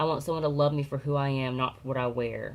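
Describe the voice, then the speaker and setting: The voice is quiet. Its pitch varies in an ordinary way. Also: woman. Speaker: beauty vlogger. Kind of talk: makeup tutorial.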